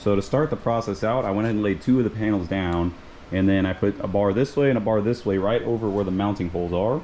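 Through light background noise, a man with a fairly low pitch talks at a fairly quick pace in an ordinary speaking voice with ordinary pitch variation. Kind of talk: casual tutorial vlog. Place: garden. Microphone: phone near.

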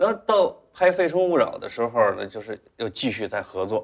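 A man speaks fairly quickly with a quiet background behind him. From rural China. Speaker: talk show guest. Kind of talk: casual chat. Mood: relaxed, reflective. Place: studio.

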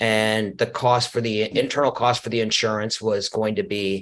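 This man has a fairly low pitch and talks at a fairly slow pace. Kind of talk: business explainer talk. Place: office.

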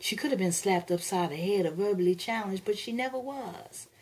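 A woman speaks in a dramatic tone at a medium pitch. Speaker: actress performing a poem. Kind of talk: spoken word poetry, dramatic reading of a poem. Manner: expressive, dramatic, rhythmic delivery.

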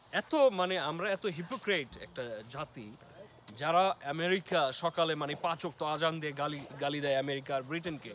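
A man speaks at a fairly high pitch with ordinary pitch variation. The sound is dry with no echo, and there is light background noise. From Bangladesh. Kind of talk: casual chat. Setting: outdoors. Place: forest. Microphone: phone near.

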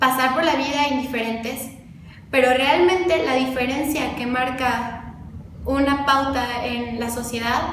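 At a fairly slow pace, the speech carries audible room echo and light background noise. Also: woman. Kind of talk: interview answer. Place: office.

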